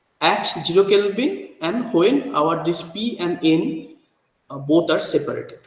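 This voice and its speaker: A man at a fairly slow pace, with lively intonation and audible room echo. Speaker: university lecturer. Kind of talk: lecture. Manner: halting, many fillers.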